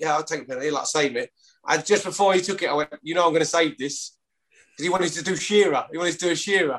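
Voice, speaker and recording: Speaking at a very fast pace, a man talks in a fairly high-pitched voice. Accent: strong East London. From East London. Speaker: former rugby league player. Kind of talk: casual interview chat.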